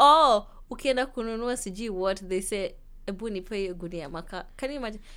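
Her pitch medium and ordinarily varied, a woman with a Kenyan accent speaks at a fairly quick pace. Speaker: university student. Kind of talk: casual chat. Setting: studio.

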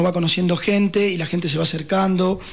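Delivered at a fairly quick pace, the speech carries a Rioplatense accent over noticeable background noise. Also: man. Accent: Argentine Rioplatense Spanish. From Buenos Aires, Argentina. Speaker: political candidate. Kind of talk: radio interview. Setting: radio studio.

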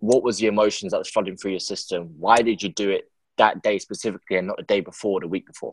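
A man with a London accent speaks at a very fast pace and a fairly low pitch. His intonation is fairly even, and the sound is dry and close with no echo. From England, London. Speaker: podcast host. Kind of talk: casual interview.

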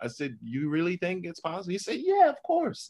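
A man speaks in a New Orleans accent at a moderate pace. The recording is very clean, with a silent background. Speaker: entrepreneur and author. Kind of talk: interview.

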